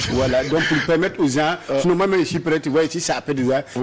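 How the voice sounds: Over noticeable background noise, a man with a Burkinabè accent talks at a very fast pace with fairly even intonation. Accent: Mooré-inflected Burkinabè French.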